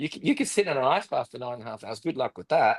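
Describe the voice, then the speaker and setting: Recorded with a dry, close sound and no echo, a man speaks over a quiet background. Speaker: pastor. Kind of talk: testimony. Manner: fast; halting, repeated words.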